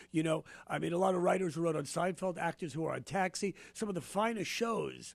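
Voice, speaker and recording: With an animated tone, a man with a high pitch talks at a fairly quick pace and ordinary pitch variation. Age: 60s. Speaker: stand-up comedian. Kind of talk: casual chat.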